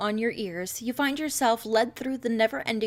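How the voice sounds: What we hear is a natural reading voice.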